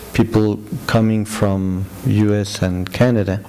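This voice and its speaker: A fairly low-pitched man with a Spanish accent and ordinary pitch variation, with audible room echo and noticeable background noise. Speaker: lecturer. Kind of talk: lecture. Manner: halting, many fillers.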